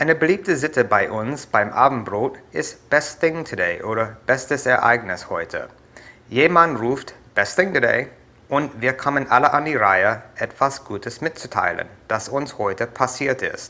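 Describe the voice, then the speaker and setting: Intonation is lively and the tone bright and sharp. The speaker has an American accent and keeps a fairly slow pace. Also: man, fairly high pitch for a man. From USA. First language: English (speaking German). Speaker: YouTuber. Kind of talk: vlog.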